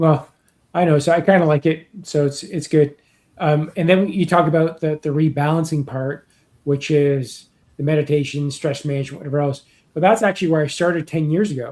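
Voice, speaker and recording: A man with a normal speaking voice talks at a fairly quick pace. His pitch is fairly high and his intonation fairly even. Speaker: YouTuber living with MS. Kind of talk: interview conversation. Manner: conversational.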